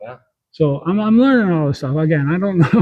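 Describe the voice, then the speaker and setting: A somewhat breathy male voice with lively intonation. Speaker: old-world architecture enthusiast. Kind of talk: casual interview talk. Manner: rambling, stumbling over words.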